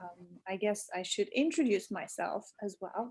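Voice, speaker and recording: A woman speaks at a very slow pace. Her voice is fairly high and somewhat breathy. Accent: Portuguese. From Portugal and England (Lisbon, London). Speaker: writer and podcast co-host. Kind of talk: casual interview. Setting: video call.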